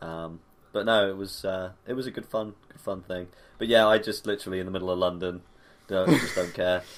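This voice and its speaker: A man with an English accent and a very deep, low pitch, at a fairly quick pace, with fairly even intonation and big swings in loudness. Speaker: podcast co-host. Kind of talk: casual chat. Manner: loud, boisterous.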